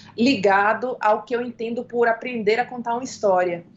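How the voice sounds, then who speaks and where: At a moderate pace, a woman talks with an ordinary speaking voice and ordinary pitch variation. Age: 30s. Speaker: film director and screenwriter. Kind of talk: interview.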